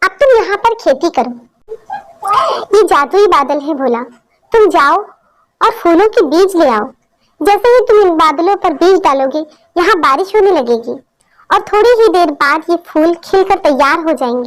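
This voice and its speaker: A female-sounding cartoonish character voice at an extremely high pitch speaks with long, frequent pauses. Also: moderate pace. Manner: gentle, caring.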